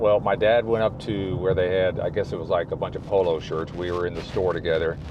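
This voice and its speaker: Background noise clearly heard behind a man whose pitch varies normally. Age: 60s. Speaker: YouTuber. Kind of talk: casual talk to camera. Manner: rambling, conversational.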